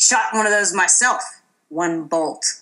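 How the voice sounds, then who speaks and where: Using a put-on character voice, a woman speaks raspy at a medium pitch and a fairly slow pace. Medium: read story. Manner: gruff, sneering.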